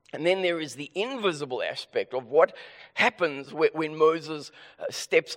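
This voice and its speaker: The recording is dry and close, without any echo. A man talks in a South African accent. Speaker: preacher. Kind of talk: sermon. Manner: deliberately slower; halting, with stammered restarts.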